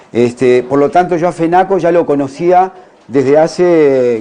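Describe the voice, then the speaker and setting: A man speaks with a Uruguayan accent. His pitch shows ordinary variation. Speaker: naturopath. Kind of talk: conference talk. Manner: halting.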